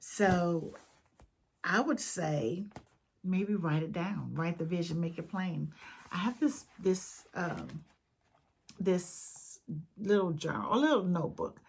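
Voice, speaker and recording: A woman with a fairly low, somewhat breathy voice speaks at a very slow pace, with lively intonation and long, frequent pauses. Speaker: video blogger. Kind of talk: casual vlog talk to viewers. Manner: halting, many fillers.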